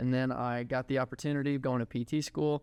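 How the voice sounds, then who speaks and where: A man's medium-pitched voice with a slight Texas accent, against a quiet background. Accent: slight Texas twang. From Texas (Houston). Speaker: physical therapy student and clinic owner. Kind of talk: podcast interview.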